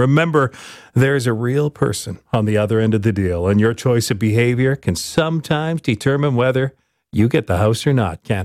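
On a very clean recording with a silent background, a man has an unremarkable speaking voice at medium pitch with ordinary pitch variation. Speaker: radio host. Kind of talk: radio host patter, friendly show intros and segment links. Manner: warm, upbeat, smooth.

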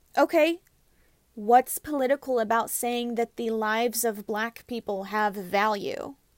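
Captured in a very clean recording with a silent background, a woman speaks in a high voice with ordinary pitch variation. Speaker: podcast host. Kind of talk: personal monologue. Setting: recorded in a closet. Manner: earnest.

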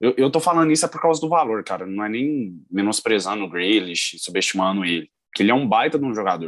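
Very wide pitch swings at a very fast pace, hardly any pauses, over a quiet background. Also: man, fairly low pitch for a man. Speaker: football podcast co-host. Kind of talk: casual chat.

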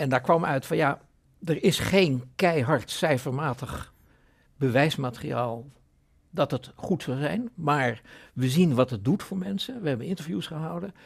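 Somewhat breathy and fairly high, a man's voice moves at a fairly slow pace with lively intonation in a very clean recording with a silent background. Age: 70s. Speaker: foundation chairman. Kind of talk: podcast interview.

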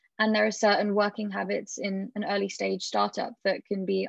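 With a British accent, a woman talks at a medium pitch and moderate pace in monotone, flat intonation. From Britain. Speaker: startup founder. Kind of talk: interview.

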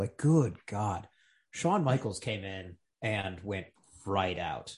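A man speaks at a fairly low pitch and a fairly slow pace, his voice somewhat breathy. Pitch variation is ordinary, and the background is quiet. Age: 30s. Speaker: fantasy football league member, podcast co-host. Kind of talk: casual chat.

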